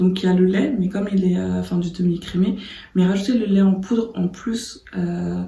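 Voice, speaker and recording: Soft-spoken and somewhat breathy, the voice has a dark, mellow tone and a fairly slow pace. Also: woman. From Martinique. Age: 30s. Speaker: designer. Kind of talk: casual talk to camera. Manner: soft-spoken, calm.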